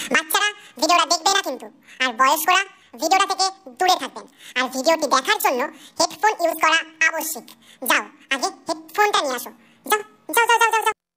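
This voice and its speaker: Someone puts on a character voice with an extremely high pitch. The delivery moves at a fairly quick pace. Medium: comedy sketch. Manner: bossy, playful.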